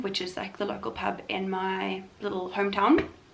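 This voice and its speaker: Noticeable background noise plus audible echo from the room. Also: woman. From South Africa, Limpopo small town. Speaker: vlogger. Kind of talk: casual vlog chat. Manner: fast.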